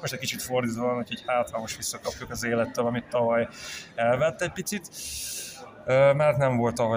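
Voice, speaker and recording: A man talking very fast with fairly even intonation, over noticeable background noise. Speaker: olympic kayak champion. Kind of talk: interview.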